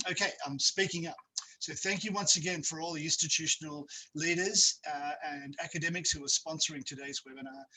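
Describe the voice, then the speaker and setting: An Australian-accented man talks at a fairly quick pace. His intonation stays fairly even. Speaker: university academic presenter. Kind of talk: webinar presentation. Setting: video call. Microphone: too quiet at first.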